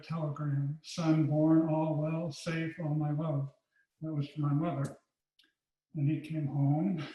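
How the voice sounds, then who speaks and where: A man with an American accent speaks very slowly at a fairly high pitch, his intonation monotone and flat. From US Midwest, Chicago suburbs. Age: 70s. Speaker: retired art education professor. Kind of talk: autobiographical lecture.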